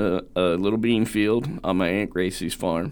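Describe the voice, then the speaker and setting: In an American accent, a man with an ordinary speaking voice talks at a fairly slow pace and fairly low pitch, with ordinary pitch variation. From Southern Indiana. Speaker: wildlife ecology professor. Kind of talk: interview. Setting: studio.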